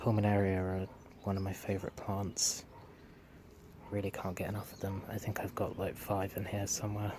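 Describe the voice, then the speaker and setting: A man with a British accent, fairly low pitch and monotone, flat intonation, at a fairly quick pace broken by long, frequent pauses. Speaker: gardening vlogger. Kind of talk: casual garden vlog. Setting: outdoors in garden.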